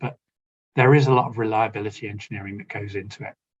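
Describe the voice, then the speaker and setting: A man speaks with a British accent and fairly even intonation. His voice is somewhat breathy. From United Kingdom. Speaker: asset management engineer presenting. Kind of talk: conference webinar presentation. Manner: casual with fillers.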